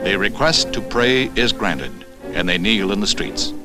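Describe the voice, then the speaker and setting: A male voice with music in the background. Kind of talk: newsreel narration. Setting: 1960s newsreel recording.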